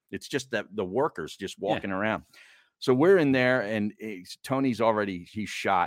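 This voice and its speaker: Lively in intonation, an ordinary speaking voice moves at a moderate pace. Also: man. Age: 60s. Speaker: sports radio host and podcaster. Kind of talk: casual chat.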